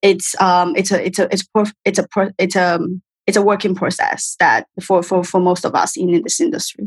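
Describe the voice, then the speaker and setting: With a Chinese accent, a woman speaks at a moderate pace and medium pitch, somewhat breathy, with ordinary pitch variation, very even loudness and a dry, close sound without echo. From China. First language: Mandarin Chinese. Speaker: film production executive. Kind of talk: interview. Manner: halting.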